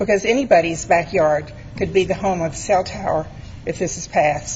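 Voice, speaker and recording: A woman's shaky voice at medium pitch moves at a moderate pace with ordinary pitch variation, amid audible room echo and noticeable background noise. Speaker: resident speaking at public hearing. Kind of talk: public comment at council meeting. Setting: city council meeting.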